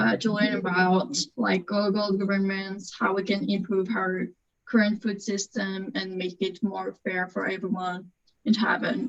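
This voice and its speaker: A woman's somewhat breathy voice at a medium pitch, at a fairly slow pace. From France. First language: French. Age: 20s. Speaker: panelist, law graduate. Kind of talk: panel discussion. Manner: halting.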